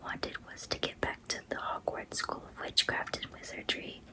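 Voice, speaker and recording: A woman whispers at a moderate pace in a gentle tone. Noticeable background noise runs beneath her. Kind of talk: bedtime story reading. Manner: soft, gentle.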